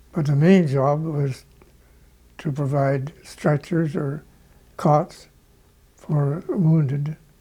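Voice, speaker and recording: With a Canadian accent, a man speaks at a very slow pace in a fairly high, somewhat breathy voice with a dark, mellow tone, fairly even intonation and long, frequent pauses. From Ontario, Canada. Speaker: war veteran, army doctor. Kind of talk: interview answer.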